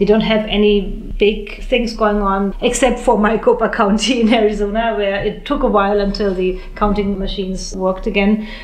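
A woman talks with hardly any pauses in a monotone, flat intonation. Noticeable background noise and audible room echo are present. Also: medium pitch for a woman, moderate pace. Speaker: foreign correspondent. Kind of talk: panel discussion. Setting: press club.

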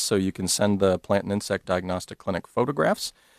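Dry and close with no echo, on a very clean recording with a silent background, a man with an American accent speaks very fast in a fairly low voice. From US Mid-Atlantic (Maryland). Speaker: entomologist. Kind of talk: interview. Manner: halting.

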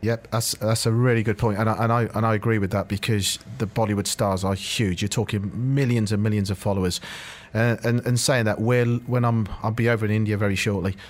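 A man's fairly quick, monotone, flat delivery at a fairly low pitch, in a British accent. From Britain. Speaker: football club executive. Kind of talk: radio interview. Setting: studio.

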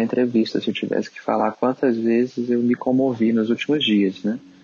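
Speech moves at a moderate pace. The intonation is monotone and flat. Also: man. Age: 30s. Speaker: emergency doctor. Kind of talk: interview.

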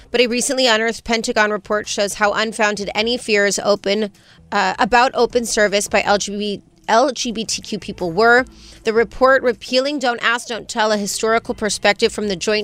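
The recording is very clean, with a silent background. A woman with a fairly high pitch talks at a moderate pace. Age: 30s. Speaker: morning show co-host. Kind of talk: casual chat. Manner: animated.

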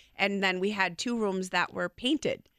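Animated and enthusiastic, a woman speaks at a moderate pace and medium pitch in a bright, sharp tone, the sound dry and close with no echo on a very clean recording with a silent background. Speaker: window company representative. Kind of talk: casual radio interview. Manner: animated, enthusiastic.

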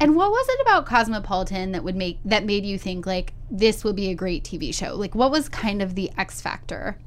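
Noticeable background noise sits behind a woman's voice. She speaks at a fairly quick pace and a medium pitch. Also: ordinary pitch variation, hardly any pauses. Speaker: podcast host. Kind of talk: casual chat. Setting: studio. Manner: animated.

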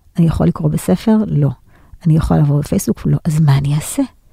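Heard in a dry, close sound with no echo, a woman speaks at a very fast pace in a dark, mellow, somewhat breathy voice with lively intonation. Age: 40s. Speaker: business lecturer and consultant. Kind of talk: interview.

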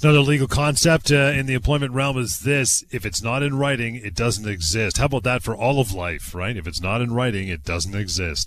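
A man with a Canadian accent talks at a fairly quick pace with hardly any pauses, in a plain, everyday voice. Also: medium pitch for a man, very clean recording, silent background. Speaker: radio host. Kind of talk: radio talk show. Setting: studio.

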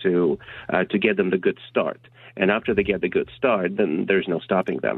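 A man speaks at a moderate pace in a fairly low pitch. He has a plain, everyday voice with fairly even intonation. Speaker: caller. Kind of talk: radio interview. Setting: phone call.

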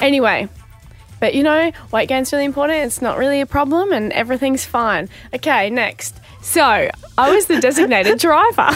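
Over background music, a high-pitched woman with an Australian accent speaks at a moderate pace in a bubbly, animated tone, with very wide pitch swings. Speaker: radio co-host. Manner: bubbly, animated storyteller.

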